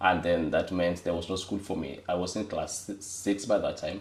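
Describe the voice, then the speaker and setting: A man with a Kenyan accent talks at a fairly slow pace in a very deep, low pitch that is somewhat breathy, keeping his intonation fairly even. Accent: Kenyan (Luo) English. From Kenya, Homa Bay County. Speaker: data firm executive. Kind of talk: interview testimony. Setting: studio, on camera. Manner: halting, many fillers.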